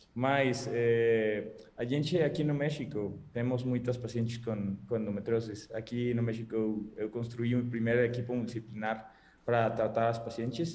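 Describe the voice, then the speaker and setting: Speaking with a Spanish accent, a man keeps to a moderate pace. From Mexico. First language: Spanish (speaking Portuguese). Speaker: gynecologist. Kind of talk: panel discussion closing remarks. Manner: halting, hesitant.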